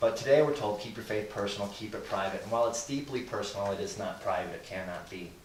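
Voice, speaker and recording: A man with a fairly low pitch and ordinary pitch variation speaks at a very fast pace with hardly any pauses and big swings in loudness, amid noticeable background noise and audible room echo. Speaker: guest speaker on Christians and government. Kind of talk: lecture to a live group.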